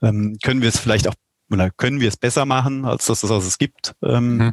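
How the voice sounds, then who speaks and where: A man with an unremarkable speaking voice at a medium pitch, in a dry, close sound with no echo. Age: 40s. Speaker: company executive. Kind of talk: interview.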